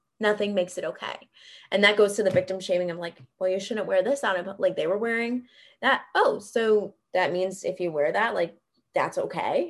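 An unremarkable speaking voice from a woman with an American accent, medium in pitch and moderate in pace. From US South, Greenville, South Carolina. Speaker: trauma counselor. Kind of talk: interview.

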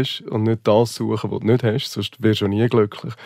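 An ordinary speaking voice, a man at a medium pitch, talks at a fairly quick pace with fairly even intonation. The sound is dry and close, with no echo. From Central Switzerland. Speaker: hotelier. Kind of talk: interview conversation.

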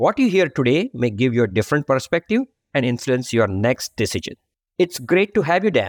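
Over a quiet background, a man speaks with an Indian accent. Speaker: podcast host, accounting firm practice leader. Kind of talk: interview.

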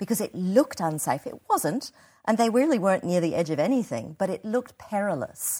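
A woman with an Australian accent speaks at a medium pitch in a dark, mellow tone, her pitch swinging very widely. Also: fairly quick pace, very clean recording, silent background. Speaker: theatre artistic director. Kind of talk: casual interview.

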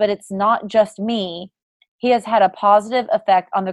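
Against a quiet background, there is an unforced reading voice.

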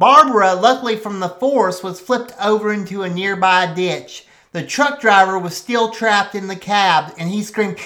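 Plain reading aloud, pitch varying in an ordinary way.

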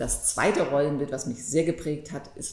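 A woman speaks at a moderate pace with a very deep, low pitch. Audible room echo surrounds her voice. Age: 50s. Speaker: antitrust lawyer, law firm partner. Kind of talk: podcast conversation.

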